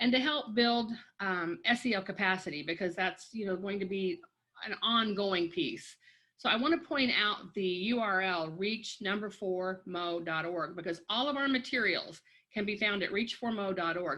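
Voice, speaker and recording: She has an ordinary speaking voice at a medium pitch for a woman, with lively intonation. The pace is moderate. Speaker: education coordinator. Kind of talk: webinar presentation.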